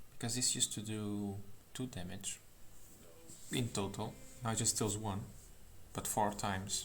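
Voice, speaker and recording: A man talks at a moderate pace in a fairly low pitch, somewhat breathy. His intonation is fairly even, with long, frequent pauses. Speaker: streamer reviewing card game changes. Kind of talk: live stream commentary.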